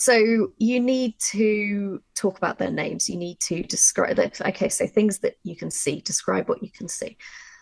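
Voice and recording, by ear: With vocal fry and few pauses, a woman speaks at a moderate pace in a slightly mellow tone with fairly even intonation. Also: medium pitch for a woman.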